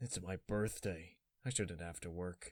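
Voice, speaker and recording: In a raspy, put-on character voice with a weary tone, the speaker goes at a fairly slow pace with ordinary pitch variation in a dry, close sound with no echo. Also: man. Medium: read story. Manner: weary, brooding.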